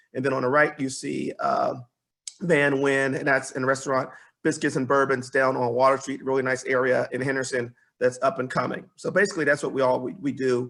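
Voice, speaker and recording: A man at medium pitch, fairly quick pace and fairly even intonation in a very clean recording with a silent background. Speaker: business advisor. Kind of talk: presentation. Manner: fast.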